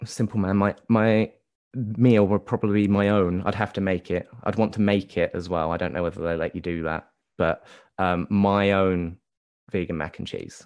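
Over a quiet background, a man talks at a moderate pace in a fairly low pitch with fairly even intonation. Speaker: musician. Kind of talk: casual interview. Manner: hesitant, filler-heavy.

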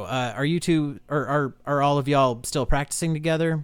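Heard in a very clean recording with a silent background, a normal speaking voice moves at a fairly quick pace. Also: man. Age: 30s. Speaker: podcast host and music promoter. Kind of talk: casual interview.

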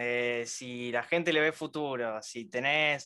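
This man's tone is bright and sharp, with fairly even intonation. The background is quiet. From Venezuela. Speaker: crypto investor, viewer on live stream. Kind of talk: casual chat.

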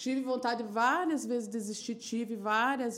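A woman talks at a moderate pace in an ordinary speaking voice. Her intonation stays fairly even. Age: 40s. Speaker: sex shop entrepreneur and sex educator. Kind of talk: casual chat.

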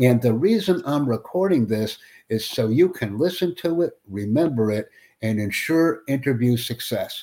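With an American accent, the voice makes very wide pitch swings. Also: man. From United States. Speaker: English conversation tutor, YouTuber. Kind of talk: mock job interview practice. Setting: online voice chat. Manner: slow and clear.

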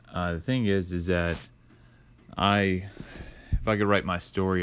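In a very clean recording with a silent background, a man speaks at a moderate pace in a very deep, low voice with monotone, flat intonation. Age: 30s. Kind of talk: personal testimony. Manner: halting, with frequent fillers.

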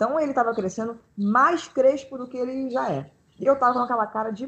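Lively intonation marks this plain, everyday voice, which moves at a moderate pace. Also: woman. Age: 30s. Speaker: pianist and composer. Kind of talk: casual chat.

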